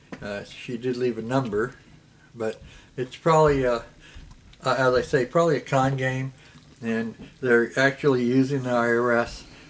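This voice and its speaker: A man speaks in a flat, monotone way. He leaves long pauses, and often. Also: medium pitch for a man, moderate pace. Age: 70s. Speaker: retiree video blogger. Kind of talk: casual monologue. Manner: halting, many fillers.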